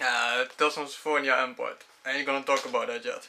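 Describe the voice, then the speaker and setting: A man speaks at a fairly high pitch. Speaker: gaming youtuber. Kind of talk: casual game collection showcase. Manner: fast.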